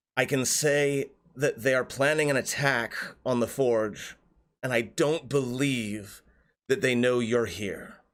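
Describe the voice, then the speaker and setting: In a put-on character voice, a man talks at a medium pitch. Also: fairly slow pace. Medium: actual play. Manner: measured, hesitant.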